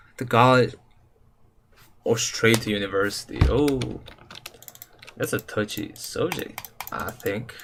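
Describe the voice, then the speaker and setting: A man speaks very slowly with a non-native accent. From Serbia. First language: Serbian. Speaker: gaming livestreamer. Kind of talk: casual livestream chat. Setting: live stream. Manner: casual, slangy.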